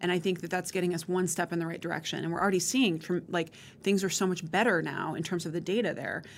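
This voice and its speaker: Speaking at a very fast pace, a woman uses a fairly low pitch with an American accent. Her intonation is fairly even. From rural Montana. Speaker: higher education consortium director. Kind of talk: interview conversation.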